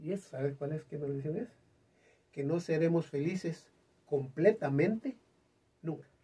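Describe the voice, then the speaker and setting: Long, frequent pauses break up a man's speech at a fairly slow pace. His voice is fairly high in pitch, with a dark, mellow tone. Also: ordinary pitch variation. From Guatemala. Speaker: singer; interview guest. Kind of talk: interview chat. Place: studio.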